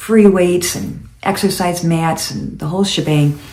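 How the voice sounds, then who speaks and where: A woman speaks at a moderate pace with ordinary pitch variation, her voice carrying audible room echo over noticeable background noise. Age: 70s. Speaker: lifestyle vlogger. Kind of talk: casual monologue. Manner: halting.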